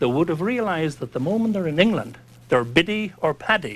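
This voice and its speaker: A man with an Irish accent, fairly high pitch and very wide pitch swings. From Northern Ireland, County Fermanagh. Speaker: priest and lobbyist. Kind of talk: heated debate.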